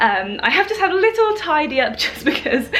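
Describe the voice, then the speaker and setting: Clearly audible noise fills the background. Over it, a woman talks. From England. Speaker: travel vlogger. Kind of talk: casual vlog talk to camera.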